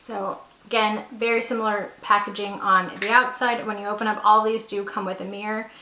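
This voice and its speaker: With audible room echo and noticeable background noise, a woman of fairly high pitch talks at a moderate pace. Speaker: beauty YouTuber. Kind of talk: product review. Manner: chatty, enthusiastic.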